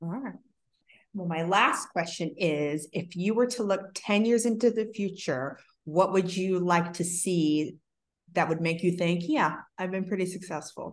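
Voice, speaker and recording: A woman speaks in a plain, everyday voice at a medium pitch. She goes at a fairly slow pace with ordinary pitch variation. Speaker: podcast host. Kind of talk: casual interview.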